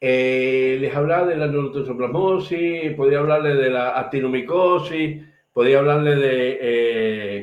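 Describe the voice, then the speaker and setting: Ordinary pitch variation with audible room echo. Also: man, fairly high pitch for a man. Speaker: medical lecturer. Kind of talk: lecture. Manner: fast.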